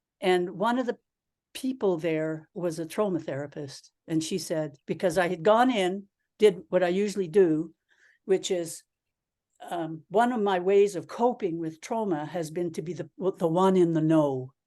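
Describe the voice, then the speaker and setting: With a Canadian accent, a woman speaks at a moderate pace in a dark, mellow tone, fairly low in pitch with ordinary pitch variation, over a quiet background. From Canada. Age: 70s. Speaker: Zen priest and teacher. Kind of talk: dharma talk Q&A answer. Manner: halting, with repetitions.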